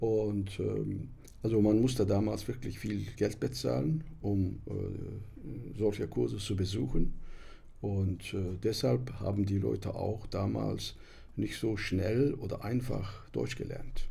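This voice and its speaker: Very slow speech carries a dark, mellow tone and vocal fry. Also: man, fairly low pitch for a man. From Turkey. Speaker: interpreter, publisher, author. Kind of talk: podcast interview answer. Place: studio. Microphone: studio mic.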